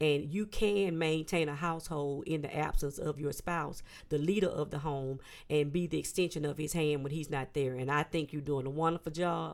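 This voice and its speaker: A woman speaks at a moderate pace with a very deep, low pitch and fairly even intonation. The recording is very clean, with a silent background. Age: 50s. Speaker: church elder and marriage guest. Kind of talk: casual interview with religious teaching.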